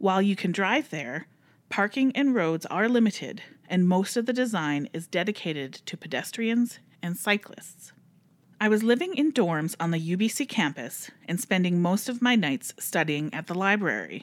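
A woman talks at a moderate pace in a medium pitch with lively intonation. Hers is a plain, everyday voice. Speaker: library podcast host. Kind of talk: casual chat and reading aloud stories.

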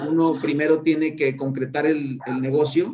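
Fairly slow and fairly even in intonation, this man has a plain, everyday voice. His pitch is fairly high. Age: 40s. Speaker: tech business owner. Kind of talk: interview.

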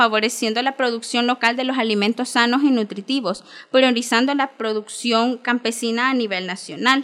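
This woman's voice is high-pitched. It shows ordinary pitch variation. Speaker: agroecology student. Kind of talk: radio interview. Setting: studio.

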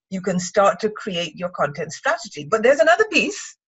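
Somewhat breathy and at medium pitch, a woman speaks at a moderate pace with very wide pitch swings. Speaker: writer and writing mentor. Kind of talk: casual chat. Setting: video call.

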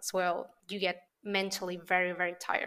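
A bright, sharp tone in a Spanish accent. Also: woman. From Venezuela. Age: 30s. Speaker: creative copywriter. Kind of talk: interview conversation.

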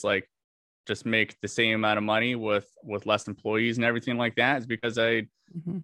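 Here a man with a normal speaking voice talks at a fairly quick pace. His medium-pitched voice has fairly even intonation. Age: 20s. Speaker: business owner. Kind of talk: coaching conversation.

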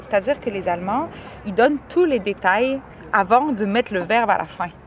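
The speech comes at a moderate pace in a Quebec accent. Noticeable background noise is present. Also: woman. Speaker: podcast host. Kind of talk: casual chat. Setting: outdoors in a park.

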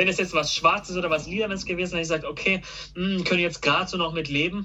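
The talking runs at a very fast pace. Noticeable background noise is heard behind it. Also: man. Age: 20s. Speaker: car YouTuber. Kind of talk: casual chat. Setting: call.

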